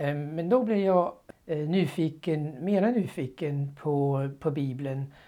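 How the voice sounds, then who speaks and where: This man's voice sits fairly high in pitch, with a dark, mellow tone. He talks at a very slow pace. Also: ordinary pitch variation, very clean recording, silent background. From Denmark. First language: Danish (speaking Swedish). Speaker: former Bible translator. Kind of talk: interview testimony. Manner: halting.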